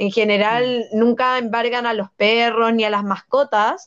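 A woman's high-pitched voice at a fairly slow pace. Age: 20s. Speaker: political candidate and law student. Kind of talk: interview.

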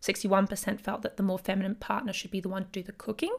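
A woman speaks very fast with an Australian accent. Her pitch is medium. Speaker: podcast host, historian. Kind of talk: solo educational podcast. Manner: casual, lots of filler words.

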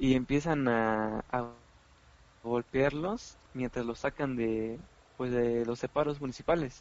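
A man's medium-pitched, fairly even voice at a very slow pace. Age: 20s. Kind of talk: casual chat.

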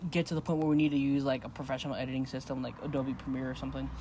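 A man speaks at a very fast pace. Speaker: podcast co-host and guest. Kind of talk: casual interview chat. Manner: relaxed, jokey.

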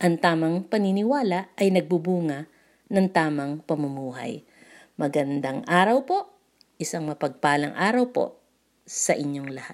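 The very clean recording, with a silent background, captures a woman speaking at a fairly slow pace. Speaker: devotion leader. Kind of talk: devotional talk.

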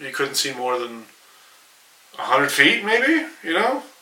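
Background noise is clearly audible. Over it, a man talks. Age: 40s. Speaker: podcast host's husband. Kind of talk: casual chat. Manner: halting.

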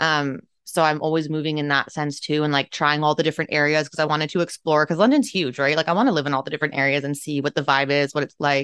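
A woman speaks at a very fast pace with a very deep, low pitch and hardly any pauses. The background is quiet, and the sound is dry and close with no echo. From Canada, Toronto. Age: 20s. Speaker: spiritual coach and podcast host. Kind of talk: casual solo monologue. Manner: animated.

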